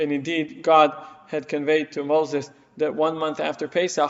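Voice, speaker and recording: Noticeable noise sits behind a man with an Israeli accent. His fairly high voice moves at a moderate pace. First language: Hebrew. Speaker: rabbi. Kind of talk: lecture.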